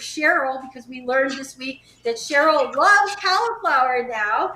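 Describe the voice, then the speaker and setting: With hardly any pauses, the raised, projected voice carries lively intonation and big swings in loudness over noticeable background noise. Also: woman. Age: 70s. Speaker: vegan nutrition educator. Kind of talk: casual chat.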